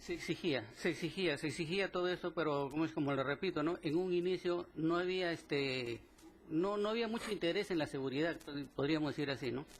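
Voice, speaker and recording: A man talks fairly quickly. His voice is pitched fairly high. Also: ordinary pitch variation. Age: 60s. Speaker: former steelworker, plaintiff. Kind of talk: court testimony. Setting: courtroom hearing. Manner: halting, many fillers and repetitions.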